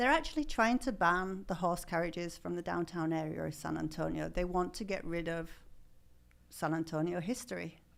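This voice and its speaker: In an English accent, the speaker goes at a moderate pace with vocal fry and ordinary pitch variation. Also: woman, fairly low pitch for a woman. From northern England, Yorkshire. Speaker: horse carriage business owner. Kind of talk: interview. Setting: studio.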